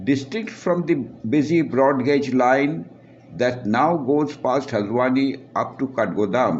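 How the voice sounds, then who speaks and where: With audible room echo, a man at medium pitch speaks at a very slow pace, his intonation lively and his loudness very even. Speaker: author. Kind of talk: reading aloud.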